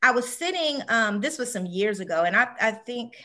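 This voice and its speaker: Her voice is fairly high and bright and sharp in tone, and this woman speaks with lively intonation. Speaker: direct sales team leader. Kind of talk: motivational team talk.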